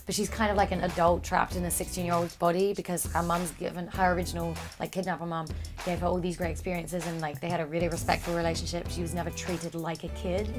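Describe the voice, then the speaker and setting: A woman with a British accent at a very fast pace, music playing in the background. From England. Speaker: actress. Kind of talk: interview answer. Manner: casual, chatty.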